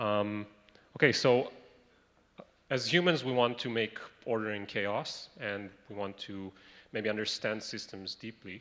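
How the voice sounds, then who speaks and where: A man in an Israeli accent speaks at a fairly slow pace and fairly low pitch, with ordinary pitch variation, big swings in loudness, and long, frequent pauses. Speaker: medical researcher. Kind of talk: conference presentation. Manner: halting.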